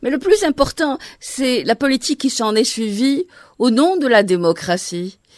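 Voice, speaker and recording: A woman speaks in a high pitch with very wide pitch swings at a fairly slow pace. The sound is dry and close, with no echo. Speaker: radio journalist. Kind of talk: radio interview. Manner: formal.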